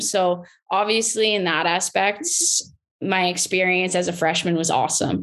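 Against a quiet background, a woman with a plain, everyday voice talks at a moderate pace with fairly even intonation. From southwestern Ontario, Canada. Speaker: former hockey player. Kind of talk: casual interview.

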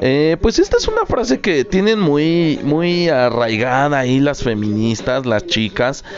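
At a very slow pace, a man with a medium pitch speaks with lively intonation against noticeable background noise. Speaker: podcast host. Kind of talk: solo Q&A podcast monologue.

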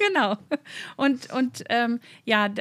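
On a very clean recording with a silent background and a dry, close sound with no echo, a woman speaks at a high pitch. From north-west Germany, between Osnabrück and Münster. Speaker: church youth worker, theologian. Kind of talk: interview.

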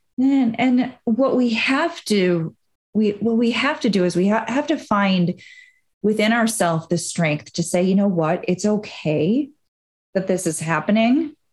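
A woman speaks with an American accent. Her voice is somewhat breathy, with lively intonation. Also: medium pitch for a woman, fairly slow pace, very even loudness. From Wisconsin, US Midwest. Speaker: hypnotherapist and business mindset coach. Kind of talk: podcast interview.

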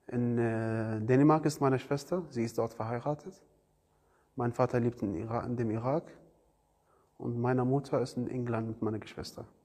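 A man with an Arabic accent speaks at a moderate pace in a medium pitch, leaving long, frequent pauses. His intonation is fairly even and his tone dark and mellow. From Iraq. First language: Arabic (speaking German). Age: 20s. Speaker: refugee, trainee car mechatronics technician. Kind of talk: interview. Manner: halting.

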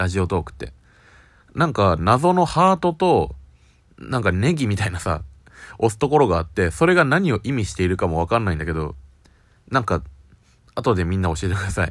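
A man's fairly low-pitched, fairly quick speech with very wide pitch swings and long, frequent pauses, on a very clean recording with a silent background. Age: 20s. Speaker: podcast beginner. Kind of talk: casual monologue. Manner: halting.

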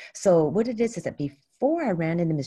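A woman's somewhat breathy, dark and mellow voice at a fairly quick pace. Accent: San Francisco. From US West Coast, San Francisco. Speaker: pageant founder. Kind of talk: interview.

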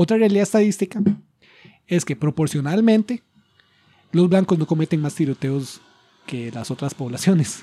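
A man with a Costa Rican accent speaks at a high pitch in a dark, mellow tone, using lively intonation. His pace is moderate with long, frequent pauses, and the sound is dry and close with no echo. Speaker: podcast host. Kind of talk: casual chat. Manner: halting.

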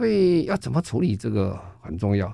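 This man has a Taiwanese accent and a dark, mellow tone. He speaks at a fairly slow pace with lively intonation. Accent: Taiwanese Mandarin. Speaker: foundation chairman and sustainability expert. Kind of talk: radio interview. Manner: halting, many fillers.

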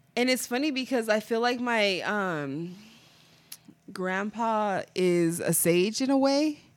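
A woman speaks in a normal speaking voice, medium in pitch, with a lively rise and fall. The recording is very clean, with a silent background. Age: 20s. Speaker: podcast co-host. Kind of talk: casual chat.

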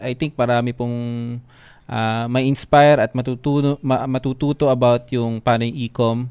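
A man's voice at a medium pitch, flat and monotone in intonation. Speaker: livestream host. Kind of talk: live stream interview. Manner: slightly stumbling speech.

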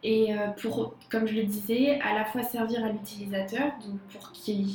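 Over noticeable background noise, a woman talks in a fairly high pitch with monotone, flat intonation. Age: 20s. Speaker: designer. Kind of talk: casual chat.

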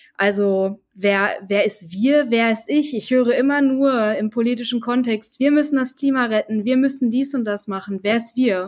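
In a normal speaking voice, a woman with a fairly high pitch speaks at a moderate pace with ordinary pitch variation and hardly any pauses. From North Rhine-Westphalia, Germany. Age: 20s. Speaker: podcast co-host, finance student. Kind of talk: interview conversation.

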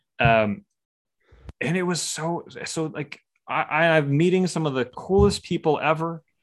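A man with a fairly high pitch speaks at a fairly slow pace in a plain, everyday voice, with ordinary pitch variation. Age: 20s. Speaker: artist. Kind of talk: podcast interview.

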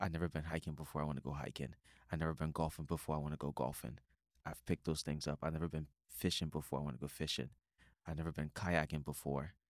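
Using vocal fry, a man with an American accent talks at a very fast pace in a very deep, low voice. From outside the US. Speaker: podcast host, fitness trainer. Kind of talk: casual interview. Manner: animated.

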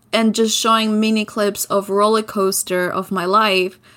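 Speaking in an Albanian accent at a fairly slow pace, a woman keeps a monotone, flat intonation on a very clean recording with a silent background. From southern Albania. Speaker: podcaster. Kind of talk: interview.

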